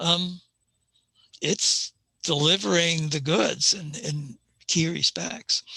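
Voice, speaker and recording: Very slowly and with long, frequent pauses, a man talks in a fairly high pitch with a bright, sharp tone and ordinary pitch variation, the sound dry and close with no echo. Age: 70s. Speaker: amateur astronomer presenter. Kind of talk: conference talk. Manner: halting.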